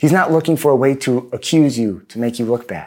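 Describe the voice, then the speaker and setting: A man with a plain, everyday voice and a medium pitch talks at a moderate pace, his intonation lively. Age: 30s. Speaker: pastor. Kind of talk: sermon. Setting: video recording for online congregation.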